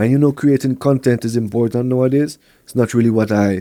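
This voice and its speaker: Man with a French accent, a dark, mellow tone, a medium pitch and fairly even intonation. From Montreal, Quebec, with years in Kingston, Jamaica. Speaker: reggae artist and producer. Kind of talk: podcast interview.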